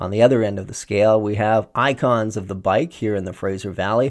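Talking at a fairly quick pace, a man uses an ordinary speaking voice at a medium pitch. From Saskatchewan, Canada. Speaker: podcast host. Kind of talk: scripted narration; interview.

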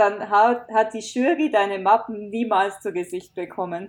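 A woman with an unremarkable speaking voice talks at a fairly slow pace, her fairly high pitch rising and falling in an ordinary way, on a very clean recording with a silent background. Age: 20s. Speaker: author. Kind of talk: casual chat.

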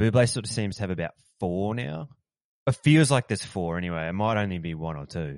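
A man speaks very fast in an Australian accent, his pitch very deep and low. His intonation is lively, and the background is quiet. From country town in Australia. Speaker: podcast co-host. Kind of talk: casual chat.

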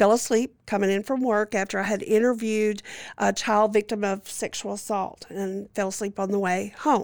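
A woman's medium-pitched voice in a Louisiana accent at a moderate pace, on a very clean recording with a silent background. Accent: Southern US (Louisiana). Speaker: licensed clinical social worker. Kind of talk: interview testimony.

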